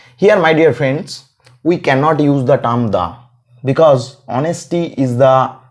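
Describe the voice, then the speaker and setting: Speaking very slowly with long, frequent pauses, a man with a Bengali accent uses a fairly high pitch and lively intonation. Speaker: English teacher. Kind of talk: grammar tutorial. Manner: repetitive, self-correcting.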